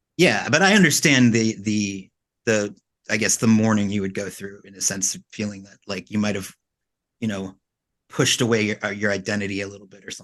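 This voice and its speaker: At a fairly quick pace, a man with a fairly low pitch talks with fairly even intonation and big swings in loudness. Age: 40s. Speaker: podcast interviewer. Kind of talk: interview. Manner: halting, many restarts.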